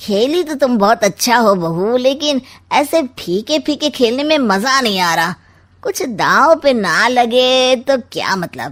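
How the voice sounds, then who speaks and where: A woman does a cartoonish character voice, high-pitched with lively intonation, at a fairly slow pace. The recording is very clean, with a silent background. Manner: sly, smug, teasing.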